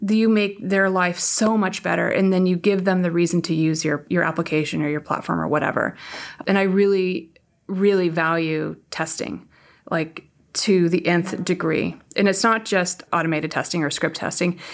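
A woman with a West Coast American accent, fairly low pitch, ordinary pitch variation and moderate pace, on a very clean recording with a silent background. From US, San Francisco Bay Area. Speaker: tech executive. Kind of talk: interview.

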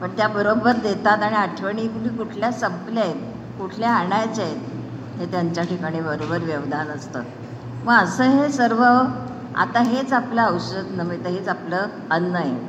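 Over noticeable background noise and audible room echo, a woman talks with very wide pitch swings. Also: medium pitch for a woman. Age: 80s+. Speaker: elderly devotee. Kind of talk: speech to gathering. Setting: hall with audience.

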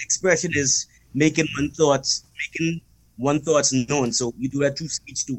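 A man with a fairly high pitch speaks at a fairly slow pace, somewhat breathy and with fairly even intonation. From Bahamas. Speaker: podcast guest. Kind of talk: casual chat.

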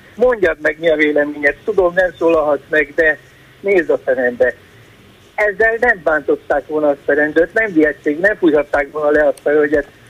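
A man with a plain, everyday voice and fairly high pitch speaks at a moderate pace, with ordinary pitch variation, very even loudness, and a dry, close sound with no echo. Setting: phone call.

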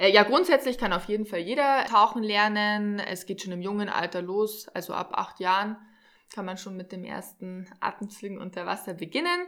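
A bright, sharp tone at a moderate pace, with ordinary pitch variation. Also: woman. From Regensburg, Germany. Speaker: dive instructor. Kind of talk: casual interview. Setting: on location by a lake.

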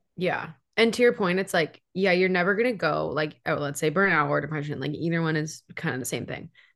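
At a fairly quick pace with hardly any pauses, a woman speaks in a fairly low pitch with ordinary pitch variation. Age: 20s. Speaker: podcast co-host. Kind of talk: casual chat. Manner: animated.

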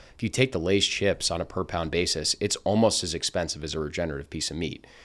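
In a New Jersey accent, a man talks at a very fast pace with a very deep, low pitch. His pitch variation is ordinary, and the recording is very clean with a silent background. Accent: American, New Jersey. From New Jersey, Princeton. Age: 20s. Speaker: food company founder and podcast co-host. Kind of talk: casual interview chat.

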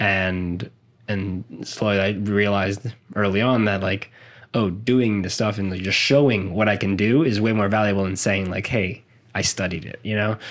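A man with an American accent speaks at a moderate pace in a plain, everyday voice, fairly low in pitch and fairly even in intonation. The recording is very clean, with a silent background. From South Florida. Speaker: filmmaker and podcast host. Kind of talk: casual chat.

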